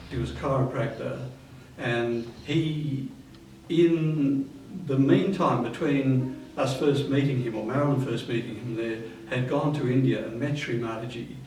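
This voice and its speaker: A man with an Australian accent, medium pitch, fairly even intonation and a fairly slow pace, with noticeable background noise and audible room echo. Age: 70s. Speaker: spiritual group member. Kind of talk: interview reminiscence. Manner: halting.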